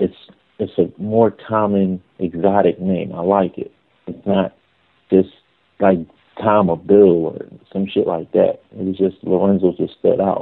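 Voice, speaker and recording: A man speaks fairly slowly, leaving long, frequent pauses. His fairly low voice stays monotone and flat. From Philadelphia. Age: 30s. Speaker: adult film performer. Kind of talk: casual interview.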